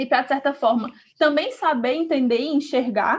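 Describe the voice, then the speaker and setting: A woman speaks with a northeastern Brazilian accent. Her pitch is high and her pace fairly quick. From Brazil, Northeast. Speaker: podcast co-host, activist. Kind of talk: casual podcast introduction.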